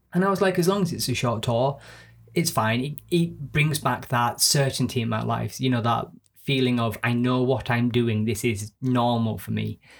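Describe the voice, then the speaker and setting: Someone with a Yorkshire accent speaks at a moderate pace with ordinary pitch variation on a very clean recording with a silent background. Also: man, medium pitch for a man. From northern England (Yorkshire). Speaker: actor and podcast co-host. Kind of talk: casual chat. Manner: rambling.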